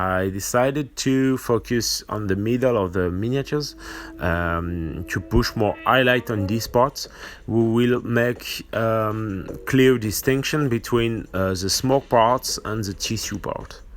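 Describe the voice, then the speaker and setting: In a French accent, a man speaks at a very slow pace. His pitch is medium, with ordinary variation. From France. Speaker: miniature painting tutor. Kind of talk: tutorial. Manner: halting, many fillers.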